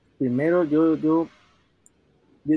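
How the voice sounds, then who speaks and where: At a very slow pace, a man with a fairly high pitch speaks with fairly even intonation. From El Salvador. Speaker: solo entrepreneur. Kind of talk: interview.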